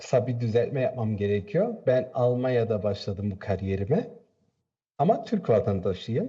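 A man's dark, mellow, somewhat breathy voice with very wide pitch swings. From Turkey. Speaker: women's football coach. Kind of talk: TV interview. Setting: remote video link.

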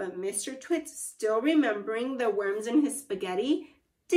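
Against a quiet background comes a natural reading voice with lively intonation.

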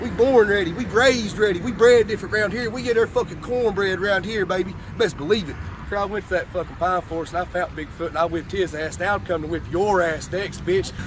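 Over noticeable background noise, a man talks at a very fast pace with an Appalachian accent, the sound dry with no echo. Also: ordinary pitch variation. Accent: Southern US, Appalachian. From Kentucky. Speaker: amateur fighter. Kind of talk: fight promo call-out. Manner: hyped, aggressive, profane trash talk. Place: street. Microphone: phone near.

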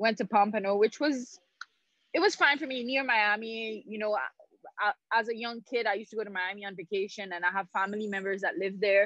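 A woman talks at a fairly quick pace in a bright, sharp tone with ordinary pitch variation, the sound dry with no echo. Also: quiet background. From Haiti. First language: French. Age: 30s. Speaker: former pro tennis player and Olympian. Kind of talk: casual interview. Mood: warm, reminiscing. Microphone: video call.

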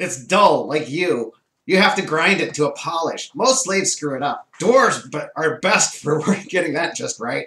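This is a man doing a put-on character voice. His pitch is high. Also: moderate pace. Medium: actual play. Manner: contemptuous, mocking.

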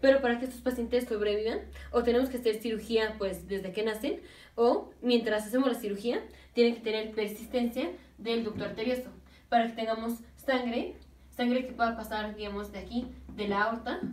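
A woman talks at a fairly quick pace. Audible room echo surrounds her voice. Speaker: medical teacher. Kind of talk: lecture. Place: home room. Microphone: camera far.

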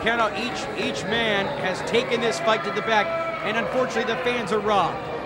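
A man talks at a fairly quick pace while loud background noise fills the recording. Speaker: wrestling commentator. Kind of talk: live wrestling play-by-play commentary. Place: hall.

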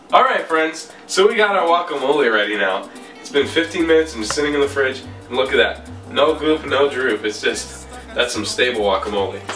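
Over music in the background and audible room echo, a man speaks at a fairly quick pace. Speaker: cooking vlogger. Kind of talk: casual cooking tutorial. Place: kitchen.

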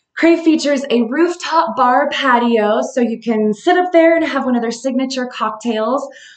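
Audible room echo surrounds a woman speaking in a high pitch. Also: quiet background. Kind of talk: casual live-stream recommendations.

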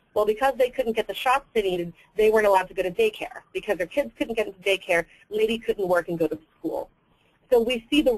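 Delivered at a very fast pace, the voice has ordinary pitch variation. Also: woman. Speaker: public affairs director at advocacy group. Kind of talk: webinar presentation. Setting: webinar call.

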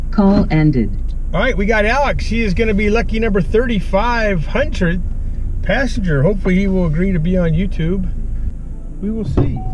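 Over music in the background, a man talks at a moderate pace in a high pitch with ordinary pitch variation. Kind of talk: casual vlog chat. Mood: friendly, upbeat. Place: car. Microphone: camera far.

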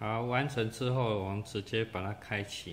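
A man speaks at a moderate pace with fairly even intonation. His pitch sits fairly low, and the room echo is audible.

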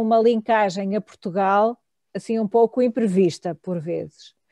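At a moderate pace, a voice with a dark, mellow tone and fairly even intonation comes through a dry sound with no echo and a quiet background. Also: woman. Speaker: academic moderator. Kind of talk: moderated academic talk. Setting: video call. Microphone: video call.

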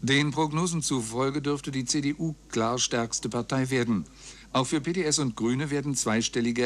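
A man talks at a moderate pace with ordinary pitch variation. His loudness stays very even. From Germany. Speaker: radio news announcer. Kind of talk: radio news reading. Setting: radio broadcast, 1999 recording. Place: booth. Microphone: studio mic.

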